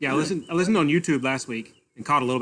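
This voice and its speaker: Speech races along at a very fast pace with lively intonation, in a Southern US accent. The background is quiet. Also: man. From North Carolina. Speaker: amateur radio operator. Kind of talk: casual chat.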